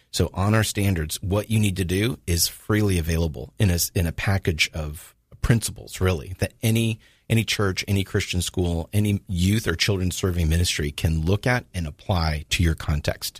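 A man's very deep, low, somewhat breathy voice in a Southern California accent, at a moderate pace with ordinary pitch variation, dry and close with no echo, on a very clean recording with a silent background. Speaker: ministry leader, abuse prevention advocate. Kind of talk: interview. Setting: studio.

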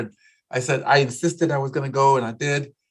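A man talks at a fairly quick pace in a fairly high, somewhat breathy voice. The recording is very clean, with a silent background. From South Texas, Corpus Christi. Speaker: community leader and activist. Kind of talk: interview.

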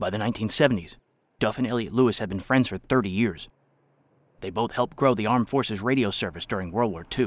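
A man with a normal speaking voice, ordinary pitch variation and a fairly quick pace, in a very clean recording with a silent background. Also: fairly low pitch for a man. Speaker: podcast narrator. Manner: formal, measured, crisp announcer cadence.

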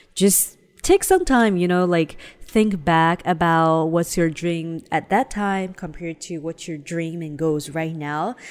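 Over background music, a woman with a fairly low pitch talks at a fairly slow pace, her intonation fairly even and her loudness swinging widely. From China (Shanghai). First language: Chinese. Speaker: podcast co-host. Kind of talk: casual chat.

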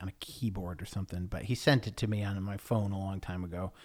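At a moderate pace and fairly low pitch, a man talks with an American accent on a very clean recording with a silent background. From New York state, US. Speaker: podcast host. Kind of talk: casual monologue. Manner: halting, many fillers.

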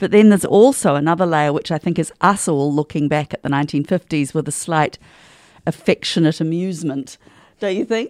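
The intonation is lively and the pace fairly quick, in a New Zealand accent. The sound is dry and close, with no echo. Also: woman, very clean recording, silent background. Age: 60s. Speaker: stage actor. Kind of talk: interview. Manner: animated.

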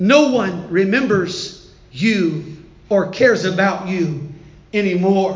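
A put-on character voice, hissing, at a very slow pace. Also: man, high pitch for a man. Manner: hissed, cold; whispering.

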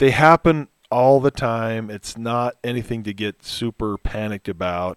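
A man talks at a moderate pace and medium pitch, with ordinary pitch variation, in a normal speaking voice. The recording is very clean with a silent background, and the sound is dry and close with no echo. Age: 50s. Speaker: financial advisor. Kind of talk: casual chat.

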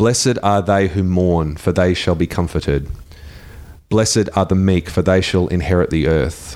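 In an Australian accent, a man with a very deep, low pitch talks at a moderate pace, his loudness very even and his pitch variation ordinary. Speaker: radio host. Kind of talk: live radio chat. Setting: studio.

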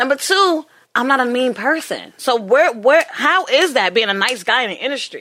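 A woman uses a raised, projected voice that is high in pitch. Her tone is bright and sharp, with very wide pitch swings. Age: 20s. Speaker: podcast host. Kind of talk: casual chat. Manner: animated.

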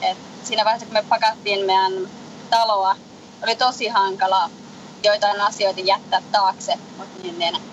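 Over noticeable background noise, a woman talks at a fairly high pitch with monotone, flat intonation. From Finland. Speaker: interview guest. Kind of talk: interview. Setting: phone call from a moving sailboat. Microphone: faint, weak line.

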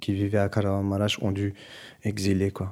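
A man's dark, mellow voice, fairly low in pitch and flat in monotone intonation, on a very clean recording with a silent background. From Brussels, Belgium, Turkish family. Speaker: musician. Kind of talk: interview testimony. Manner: halting.

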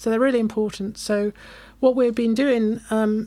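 A woman speaks with a British accent at a moderate pace. Her pitch is fairly high and her intonation monotone and flat. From UK. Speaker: conservation charity staffer. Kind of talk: casual interview chat.

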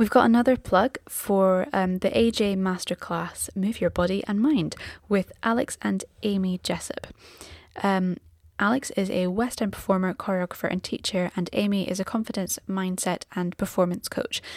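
A woman speaks quietly at a moderate pace. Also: medium pitch for a woman, ordinary pitch variation. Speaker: podcast co-host. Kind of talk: casual chat; reading out plugs. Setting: home, late at night.

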